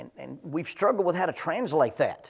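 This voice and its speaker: At a fairly quick pace, a man with an Alabama accent speaks with ordinary pitch variation. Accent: US Southern (Alabama). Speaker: Bible class teacher. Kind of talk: Bible class lecture. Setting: church classroom at a podium. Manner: conversational, repeats words often.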